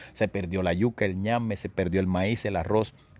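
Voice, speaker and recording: At a moderate pace, a man with a normal speaking voice talks in a fairly low pitch with fairly even intonation. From Córdoba, Colombia. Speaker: radio announcer, writer, actor and decima poet. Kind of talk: interview answer.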